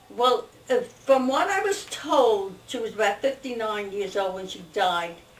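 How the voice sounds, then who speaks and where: Amid noticeable background noise, a woman with an American accent and a fairly high pitch speaks at a fairly slow pace with lively intonation. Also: big swings in loudness. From Newark, New Jersey. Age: 90s. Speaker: family elder interviewed. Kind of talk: oral history interview.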